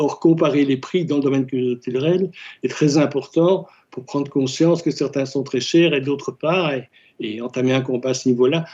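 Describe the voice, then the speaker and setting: A man speaks in a dark, mellow tone at a fairly high pitch, his intonation fairly even. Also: moderate pace. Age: 70s. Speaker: volunteer, former journalist. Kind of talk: casual chat.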